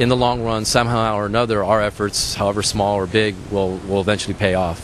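A man's fairly low-pitched voice over light background noise. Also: dry sound with no echo. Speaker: interviewee. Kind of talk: interview answer. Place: street. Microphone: handheld.

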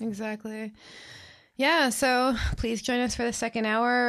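Against a quiet background, a woman uses a normal speaking voice at a moderate pace with fairly even intonation. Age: 30s. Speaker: podcast co-host. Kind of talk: casual chat.

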